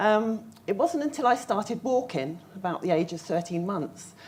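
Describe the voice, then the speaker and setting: A moderate pace and lively intonation over noticeable background noise. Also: woman. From southern England, Surrey. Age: 50s. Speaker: patient speaker. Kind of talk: conference talk. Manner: halting.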